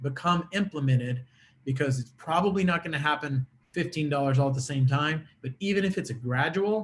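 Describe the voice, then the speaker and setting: With a somewhat breathy, fairly high-pitched voice, a man speaks with ordinary pitch variation. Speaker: attorney. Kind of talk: conference presentation. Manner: fast.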